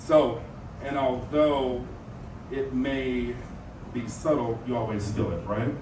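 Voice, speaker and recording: With audible room echo and noticeable background noise, a man of medium pitch talks at a very slow pace in fairly even intonation, leaving long, frequent pauses. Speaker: community speaker and leather titleholder. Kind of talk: prepared talk to an audience. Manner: halting, with fillers and restarts.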